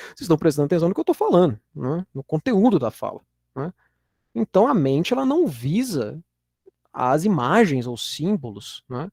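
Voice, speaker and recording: In a Minas Gerais accent, a man speaks at a high pitch with very wide pitch swings and big swings in loudness, the sound dry and close with no echo. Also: moderate pace. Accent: Minas Gerais Brazilian Portuguese. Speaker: university lecturer. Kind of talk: lecture. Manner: casual, with frequent fillers and repetitions.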